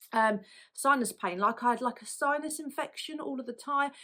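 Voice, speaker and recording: A woman with a British accent, bright, sharp tone and fairly quick pace. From UK. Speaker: lash artist and product business owner. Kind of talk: personal story to camera. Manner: casual, conversational.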